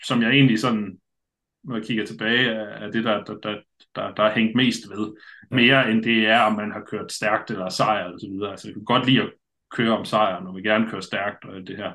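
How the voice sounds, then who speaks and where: Here a man speaks at a medium pitch with a bright, sharp tone. His loudness swings widely. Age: 40s. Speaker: adventure racer. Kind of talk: casual chat. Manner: halting, many filler sounds.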